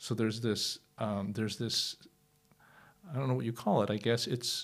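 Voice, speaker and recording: Vocal fry colors the medium-pitched voice of a man speaking with an American accent. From United States. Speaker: professor of European languages. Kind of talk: interview conversation. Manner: halting, many fillers and repetitions.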